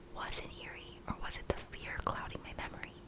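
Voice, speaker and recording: A woman whispers at a moderate pace. Background noise is noticeable. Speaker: ASMR YouTuber. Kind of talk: first-person horror story narration, read in a whisper. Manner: whispered.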